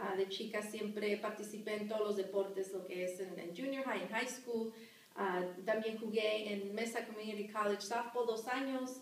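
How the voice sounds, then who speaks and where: Speaking at a moderate pace with fairly even intonation, a woman with a fairly high pitch is heard over audible room echo. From Arizona, Phoenix area (moved from Sinaloa, Mexico at 10). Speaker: high school teacher. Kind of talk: interview. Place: classroom. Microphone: camera far.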